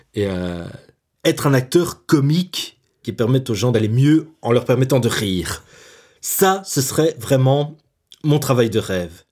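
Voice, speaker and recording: Speaking at a medium pitch, a man uses lively intonation broken by long, frequent pauses. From Belgium, Brussels. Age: 20s. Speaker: young jobseeker telling his life story. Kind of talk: personal testimony. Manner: hesitant, repeats words.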